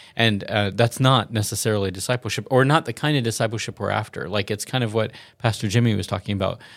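In an American accent, the speaker talks at a very fast pace with hardly any pauses and fairly even intonation on a very clean recording with a silent background. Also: man, medium pitch for a man. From US South. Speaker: pastor. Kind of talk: casual chat.

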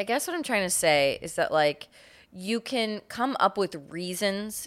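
In a very clean recording with a silent background, a woman speaks in an animated tone. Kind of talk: casual comedic banter, reads news stories aloud. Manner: animated, jokey.

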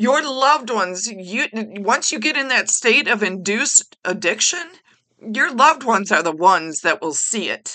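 Bright and sharp yet warm in tone, a woman speaks at a moderate pace with a fairly high pitch and very wide pitch swings. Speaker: retired teacher and podcast host. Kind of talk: passionate advocacy rant, solo monologue. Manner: passionate, emphatic, repeating key phrases; rambling, tangent-prone, warm and chatty.

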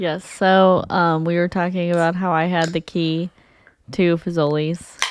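Her intonation stays flat and monotone. The woman speaks at a fairly slow pace with a fairly low pitch. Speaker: podcast co-host. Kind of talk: casual chat. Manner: calm, steady.

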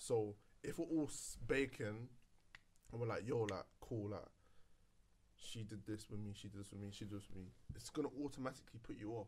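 Somewhat breathy, a man speaks at a fairly quick pace in a medium pitch with ordinary pitch variation, broken by long, frequent pauses. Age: 20s. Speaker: podcast host. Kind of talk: casual chat.

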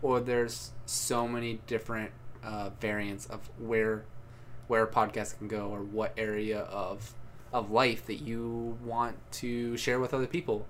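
In a room with audible echo, a medium-pitched man talks fairly slowly in a monotone, flat delivery. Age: 20s. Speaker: podcast co-host. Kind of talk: casual chat.

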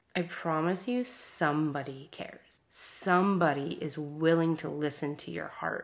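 A woman has an unremarkable speaking voice, with fairly low pitch and fairly even intonation. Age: 30s. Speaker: podcast host sharing personal trauma story. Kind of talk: personal monologue. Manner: casual, filler-heavy speech.

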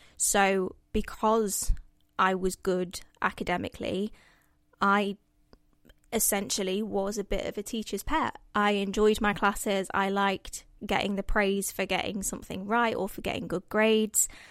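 Very clean, with a silent background, this recording carries a woman's medium-pitched voice. Her intonation is monotone and flat. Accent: East Midlands. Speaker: guest. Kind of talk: casual chat.

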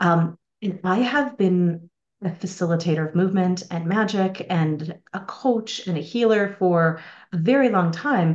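The speaker has a slight Irish accent and ordinary pitch variation. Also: woman. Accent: slight Irish lilt. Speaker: spiritual teacher and mentor. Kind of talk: casual interview conversation about spirituality. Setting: video call.

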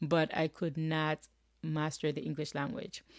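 With a Jamaican accent, a woman speaks in a very deep, low voice and fairly even intonation, recorded very cleanly against a silent background with a dry, close sound and no echo. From rural Jamaica. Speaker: podcast host. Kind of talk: solo motivational talk. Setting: home office.

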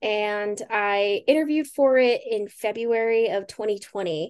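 Over a quiet background, a plain, everyday voice comes through with ordinary pitch variation. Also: woman. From Pueblo, Colorado. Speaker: recent graduate and climate fellow. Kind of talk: interview. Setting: video call.

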